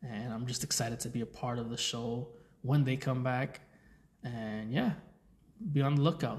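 The man's voice is somewhat breathy. His intonation is fairly even. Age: 30s. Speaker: podcast host. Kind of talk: casual monologue. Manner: rambling filler-heavy speech.

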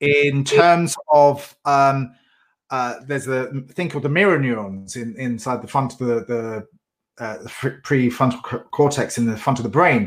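This man has an unremarkable speaking voice at a medium pitch. He talks at a fairly slow pace. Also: ordinary pitch variation. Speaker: podcast host. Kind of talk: interview, intro and outro.

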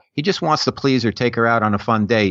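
A man with a New York accent speaks with lively intonation. The sound is dry and close, with no echo. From New York area. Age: middle-aged. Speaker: author. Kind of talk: casual chat.

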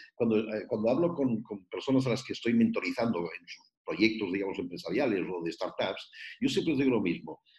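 A man speaks at a fairly quick pace with vocal fry, his pitch swinging very widely. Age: 60s. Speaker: youth mentor. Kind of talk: interview.

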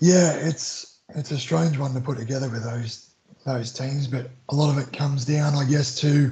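In an Australian accent, a man talks at a fairly slow pace with a medium pitch and fairly even intonation. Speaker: former rugby league player, maths teacher. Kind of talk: casual interview chat. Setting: remote call.

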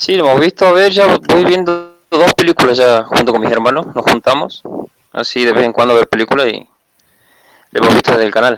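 A plain, everyday voice from a man at medium pitch, fairly quick, with lively intonation and a dry, close sound with no echo. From Tucumán, Argentina. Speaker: listener joining live. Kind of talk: casual chat. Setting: online call.

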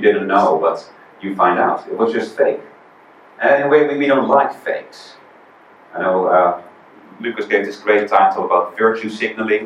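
A man with a Dutch accent, long and frequent pauses, and noticeable background noise. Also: moderate pace. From Netherlands. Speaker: visiting preacher. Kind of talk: sermon. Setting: church.

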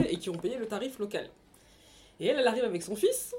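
A woman speaks in a dark, mellow tone. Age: 30s. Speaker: book club guest, mother. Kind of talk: casual chat.

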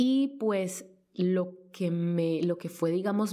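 A woman with a fairly low pitch and a dark, mellow tone talks at a very slow pace, her pitch varying in an ordinary way. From Colombia. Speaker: freelance journalist. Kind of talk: personal testimony. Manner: halting, many repetitions.

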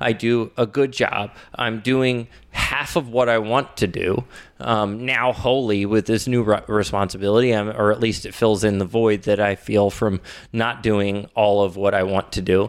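A man with a plain, everyday voice speaks at a moderate pace in a fairly low pitch, his intonation fairly even. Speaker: podcast host. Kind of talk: casual chat.

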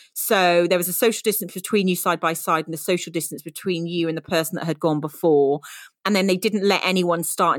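A woman with a British accent, fairly low in pitch, at a fairly quick pace with ordinary pitch variation, in a dry, close sound with no echo and a very clean recording with a silent background. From UK. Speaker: podcast co-host, trail running group founder. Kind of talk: casual chat.

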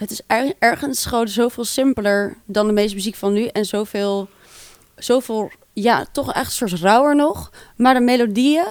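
A plain, everyday voice from a woman, fairly high-pitched, at a moderate pace with ordinary pitch variation. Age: 20s. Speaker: band frontwoman. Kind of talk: casual interview.

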